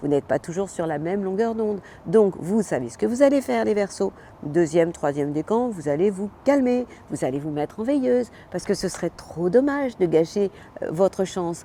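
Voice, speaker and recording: A woman's medium-pitched voice with very wide pitch swings, big shifts in loudness and a moderate pace. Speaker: astrologer. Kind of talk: weekly horoscope monologue. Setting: outdoors. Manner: animated.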